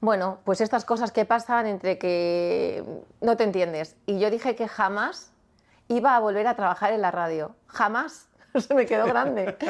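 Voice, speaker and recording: On a very clean recording with a silent background, a woman talks at a fairly slow pace with a fairly high pitch and ordinary pitch variation. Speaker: radio presenter. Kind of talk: interview conversation. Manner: spontaneous, natural delivery.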